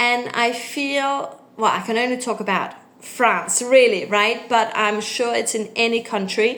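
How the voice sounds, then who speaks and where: Fairly slowly but with hardly any pauses, a woman speaks in a Danish accent at a fairly high pitch with fairly even intonation. Audible room echo and noticeable background noise fill the clip. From Denmark. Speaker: English tutor. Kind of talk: casual talk to camera. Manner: hesitant, many fillers.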